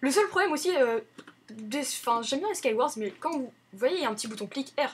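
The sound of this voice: Fairly quick and lively in intonation, a woman's high voice has a husky, rough edge.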